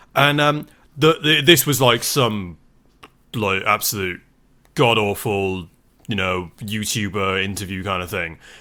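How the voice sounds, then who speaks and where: On a very clean recording with a silent background, a man with a fairly low pitch and a bright, sharp tone speaks with lively intonation and long, frequent pauses. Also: fairly slow pace. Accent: British. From Britain. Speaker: podcast co-host. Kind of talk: casual chat.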